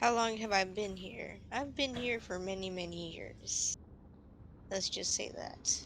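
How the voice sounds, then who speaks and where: A female-sounding put-on character voice at medium pitch, with clear background noise. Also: fairly slow pace. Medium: machinima. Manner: calm, terse.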